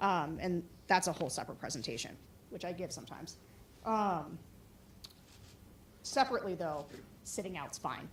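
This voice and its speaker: A woman speaks at a fairly low pitch with lively intonation and big swings in loudness. Long, frequent pauses sit within audible room echo. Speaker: political operative. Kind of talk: conference talk and Q&A. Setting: conference room with audience.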